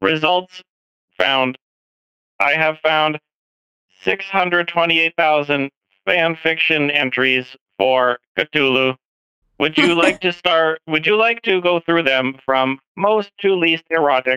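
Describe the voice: A man's put-on character voice, fairly high in pitch, very slow, with long, frequent pauses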